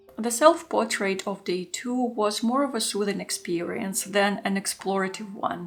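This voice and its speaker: At a moderate pace, a woman speaks with a Russian accent. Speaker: art journaling YouTuber. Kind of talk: scripted narration.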